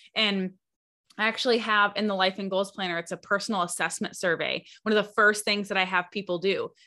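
A woman has an ordinary speaking voice at a medium pitch. She talks at a moderate pace against a quiet background. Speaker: podcast host and coach. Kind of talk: casual interview chat.

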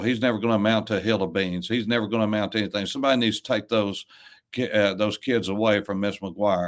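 Recorded very cleanly against a silent background, a man with an Appalachian accent talks at a moderate pace and a fairly low pitch, his intonation fairly even. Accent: Southern US (Appalachian). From East Tennessee, US South. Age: 60s. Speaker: pastor. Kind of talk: casual chat. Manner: halting.

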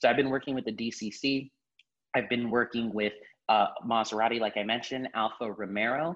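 At a moderate pace, a man with an American accent and a normal speaking voice talks at medium pitch with fairly even intonation. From Miami, Florida. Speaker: marketing account executive. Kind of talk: casual interview.

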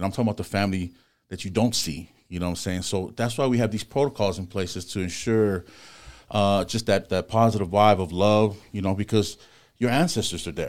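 A man with an American accent talks fairly quickly in an unremarkable speaking voice on a very clean recording with a silent background. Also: fairly low pitch for a man, ordinary pitch variation. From Los Angeles, US West Coast. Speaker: tattoo artist and shop owner. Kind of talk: casual interview.

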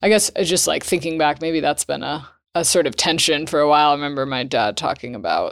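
Very clean recording with a silent background of a woman in a New England accent, moderate pace, ordinary pitch variation. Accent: American, New England. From Vermont, US. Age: 20s. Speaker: ski center board leader and PhD student. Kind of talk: interview, casual chat.

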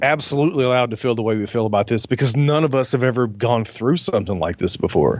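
The speaker talks very fast in a Southern US accent, with lively intonation and hardly any pauses. Noticeable background noise runs underneath. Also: man, medium pitch for a man. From US South. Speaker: podcast host. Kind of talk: casual chat.

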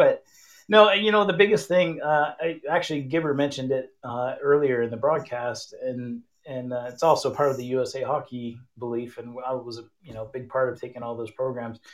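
A man with a plain, everyday voice talks at a moderate pace and medium pitch, with ordinary pitch variation and big swings in loudness. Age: 50s. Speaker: hockey camp coach. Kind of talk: interview. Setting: online call-in. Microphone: no headphones, connection issues.

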